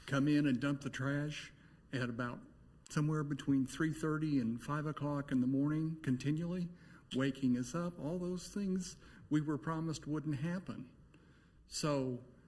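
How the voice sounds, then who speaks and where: A man speaks at a fairly high pitch. His voice is somewhat breathy and his intonation fairly even. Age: 60s. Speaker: resident speaking at public hearing. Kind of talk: public comment at city meeting.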